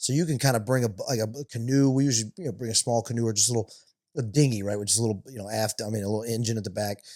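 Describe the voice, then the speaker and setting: This man talks at a very fast pace, with a medium pitch, a dark, mellow tone and fairly even intonation. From US South, Louisiana (near New Orleans). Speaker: stand-up comedian. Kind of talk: casual podcast interview. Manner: fast, talkative.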